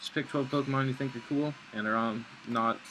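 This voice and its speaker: A man's voice amid noticeable background noise. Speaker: gaming video creator. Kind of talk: gameplay commentary. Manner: fast; casual, filler-heavy.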